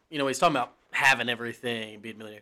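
Here a man with a Southern US accent speaks at a medium pitch in a bright, sharp tone. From US South. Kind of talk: casual chat.

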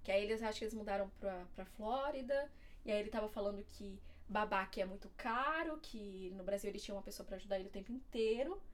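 In a Paulista accent, a woman talks very fast at a fairly high pitch with ordinary pitch variation. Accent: Paulista Brazilian Portuguese. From Diadema, São Paulo, Brazil. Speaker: former au pair and student. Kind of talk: casual interview chat.

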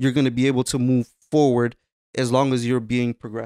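A man with an American accent and a normal speaking voice, medium pitch, moderate pace, on a very clean recording with a silent background and a dry, close sound with no echo. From Waterbury, Connecticut. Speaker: podcast co-host. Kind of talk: casual chat.

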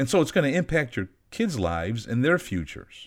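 Heard in a very clean recording with a silent background, a man's voice shows vocal fry and very wide pitch swings. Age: 50s. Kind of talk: teaching monologue on faith.

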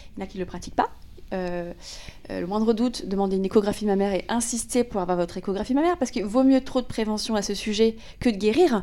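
At a very fast pace, a woman talks with a fairly high pitch and a dark, mellow tone. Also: ordinary pitch variation. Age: 30s. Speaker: podcast host. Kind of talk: casual interview.

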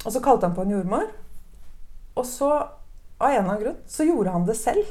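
A woman's fairly high, dark and mellow voice at a fairly quick pace. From Norway. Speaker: new mother sharing birth story. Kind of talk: interview testimony.

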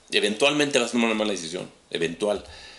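A man speaks with a Mexican accent in a fairly low pitch. His pitch varies in an ordinary way, with noticeable background noise. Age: 40s. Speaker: tech business director. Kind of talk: casual chat.

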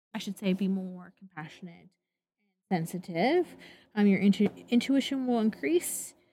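With an American accent, a woman speaks at a moderate pace and a medium pitch in a dark, mellow, somewhat breathy tone. Her intonation is lively, and she leaves long, frequent pauses. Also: big swings in loudness. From US Pacific Northwest, Portland. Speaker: podcast co-host. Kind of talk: casual chat.

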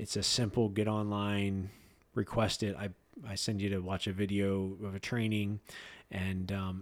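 In a very clean recording with a silent background, a man with an American accent uses a normal speaking voice, fairly low in pitch with ordinary pitch variation. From Pennsylvania, Lebanon County. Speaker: nonprofit executive director, former paramedic. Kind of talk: casual interview. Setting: studio.

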